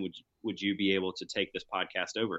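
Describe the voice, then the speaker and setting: Speaking fairly quickly with an American accent, this man has an ordinary speaking voice, fairly low in pitch and with fairly even intonation. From US South, deep South Alabama. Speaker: hunting podcast host. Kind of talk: casual chat.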